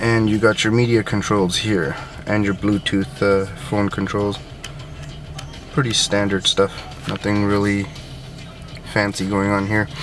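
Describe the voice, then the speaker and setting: Music plays in the background as a man with a fairly low voice speaks at a fairly slow pace, with fairly even intonation and long, frequent pauses. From Sri Lankan Tamil. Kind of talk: casual car review to camera.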